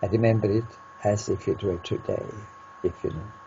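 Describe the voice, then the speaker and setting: A man holds a medium pitch and a moderate pace while noticeable background noise plays behind him. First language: Norwegian. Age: 80s+. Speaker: peace researcher. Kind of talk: interview answer.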